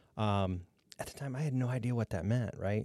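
This man talks at a fairly quick pace with fairly even intonation. His tone is dark and mellow. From northwest Ohio, Defiance. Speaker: county economic development director. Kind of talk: casual interview chat.

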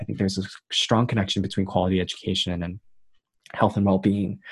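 This man's voice is fairly low-pitched and somewhat breathy. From Queens, New York. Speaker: youth delegate and graduate student. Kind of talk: interview. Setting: remote call.

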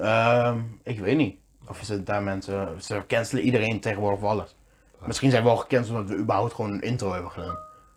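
With music in the background, a man talks at a very fast pace, his fairly low voice held to fairly even intonation. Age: 20s. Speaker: podcast co-host. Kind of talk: casual chat.

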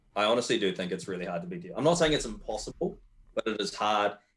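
With a New Zealand accent, a man speaks using very wide pitch swings. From New Zealand, Wellington. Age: 20s. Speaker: competitive powerlifter. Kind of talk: casual chat.

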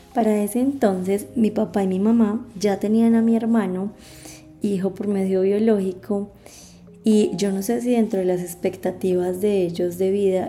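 Fairly slow and fairly even in intonation, a woman talks at a medium pitch in an unremarkable speaking voice. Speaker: podcast host and adoptee. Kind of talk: personal testimony.

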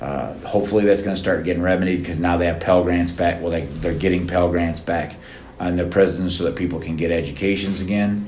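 Very deep and low, a man's voice runs very fast with fairly even intonation. Noticeable background noise and audible room echo come through. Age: 50s. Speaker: nonprofit leader and formerly incarcerated person. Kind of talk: interview.

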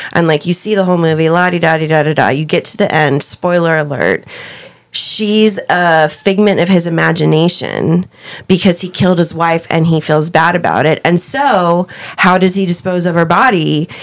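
In an American accent, a woman with a fairly low voice speaks at a moderate pace and fairly even intonation. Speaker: podcast host being interviewed. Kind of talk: casual chat, joking.

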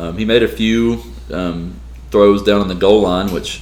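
This man's voice sits very deep and low, yet it swings very widely in pitch. He talks at a moderate pace. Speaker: sports podcast host. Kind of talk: casual sports talk podcast.

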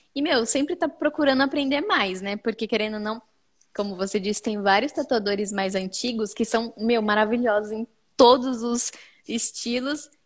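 A woman with a plain, everyday voice speaks at a moderate pace in a fairly high pitch. Her pitch varies in an ordinary way over a quiet background. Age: 20s. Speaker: tattoo artist. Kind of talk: casual chat. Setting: video call.

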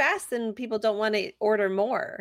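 A woman with a plain, everyday voice and a fairly high pitch talks at a moderate pace, the sound dry and close with no echo. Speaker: podcast co-host. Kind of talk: casual chat. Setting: live online stream, remote. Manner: bubbly, laughs often.

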